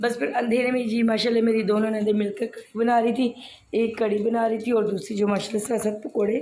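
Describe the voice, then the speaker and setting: Speaking in a dark, mellow tone at a fairly high pitch, a woman keeps a moderate pace with a monotone, flat intonation. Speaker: vlogger. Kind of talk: daily vlog narration.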